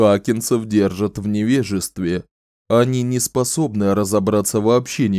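The speaker is reading aloud in a natural voice, with a quiet background behind.

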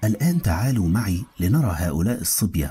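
The clip features reading aloud in a natural voice. Nothing further stands out.

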